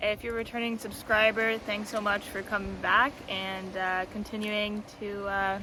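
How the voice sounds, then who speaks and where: A loud woman with a fairly high pitch speaks at a fairly slow pace over noticeable background noise. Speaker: tarot content creator. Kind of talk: casual vlog monologue. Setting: outdoors by the ocean. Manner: hesitant, many fillers.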